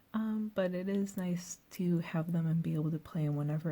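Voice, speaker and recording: A soft-spoken, somewhat breathy woman's voice with a dark, mellow tone, ordinary pitch variation and a moderate pace. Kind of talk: ASMR soft-spoken show and tell to camera; casual talk to camera.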